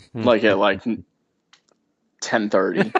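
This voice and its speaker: The man speaks at a fairly slow pace. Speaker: guitar tech. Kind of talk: interview answer, casual storytelling.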